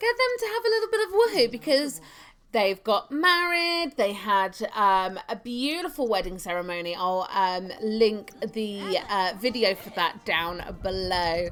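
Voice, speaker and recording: Loud and with lively intonation, a woman speaks in a fairly high pitch. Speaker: gaming youtuber. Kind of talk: let's play commentary. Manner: hesitant, many fillers.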